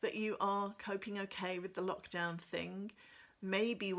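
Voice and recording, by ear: The reading sounds natural. Intonation is fairly level throughout.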